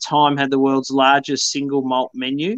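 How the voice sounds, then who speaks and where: At a moderate pace, the speech stays monotone and flat, with a dry, close sound, no echo, and a quiet background. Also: man. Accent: Australian. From Tasmania, Australia. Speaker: whisky company founder. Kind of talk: casual chat. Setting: video call.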